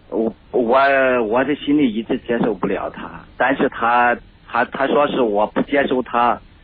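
Fairly slow, fairly even intonation over noticeable background noise. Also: man, medium pitch for a man. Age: 40s. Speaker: caller. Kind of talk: call-in discussion of marriage problems. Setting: phone call.

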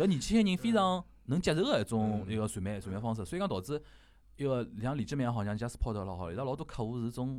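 A man's medium-pitched voice in a Shanghai accent, at a very fast pace with very wide pitch swings. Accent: Shanghainese (Wu) speaker. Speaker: podcast host. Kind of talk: casual chat.

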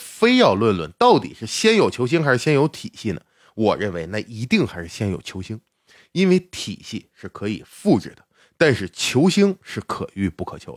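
A man's voice with vocal fry and very wide pitch swings at a moderate pace, dry and close with no echo, in a very clean recording against a silent background. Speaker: sports podcast host. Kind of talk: casual monologue about basketball.

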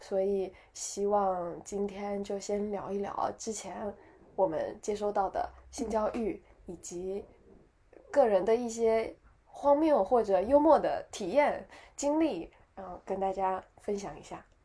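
Speaking very slowly with long, frequent pauses, a woman with a medium-pitched voice and a dark, mellow tone shows big swings in loudness. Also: ordinary pitch variation. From Taiwan. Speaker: podcast co-host. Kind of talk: casual chat.

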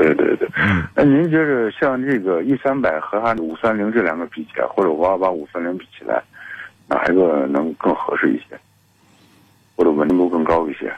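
Moving through very wide pitch swings, a man talks at a moderate pace in a fairly low pitch. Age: 40s. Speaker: caller. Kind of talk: call-in question to radio car show.

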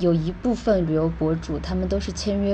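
Her speech comes at a moderate speed. The room's echo can be heard around the woman. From China. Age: 20s. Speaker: travel blogger and e-commerce entrepreneur. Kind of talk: casual interview.

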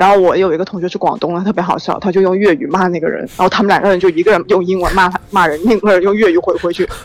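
Over background music, a woman talks at a very fast pace and medium pitch with hardly any pauses and fairly even intonation. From Haikou, Hainan. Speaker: caller, student abroad. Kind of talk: casual chat. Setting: phone call.

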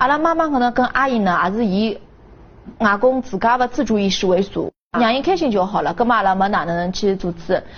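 A woman's fairly high, somewhat breathy voice in a Shanghainese accent, quick-paced and with lively intonation. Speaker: victim's family member. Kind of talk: interview.

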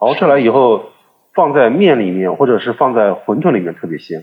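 A man with a plain, everyday voice talks at a fairly quick pace, with lively intonation at medium pitch. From China, Suzhou. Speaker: podcast guest. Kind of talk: casual chat.

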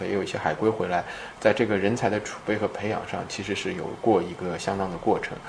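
Against noticeable background noise, a man with a fairly low voice and ordinary pitch variation talks at a fairly quick pace. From Shanghai, China. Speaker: chip design entrepreneur. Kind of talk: interview. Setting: startup incubator in Shanghai.

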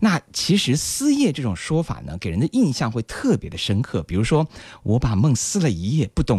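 Swinging very widely in pitch, a man speaks at a moderate pace in a somewhat breathy voice, with a dry, close sound and no echo. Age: 30s. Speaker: radio host. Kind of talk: radio music show presenting.

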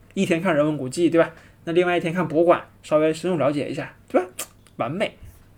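At a very fast pace, the speaker keeps a fairly even intonation. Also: man, high pitch for a man. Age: young. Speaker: travel podcaster. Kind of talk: solo travel narration. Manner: hesitant, many filler sounds.

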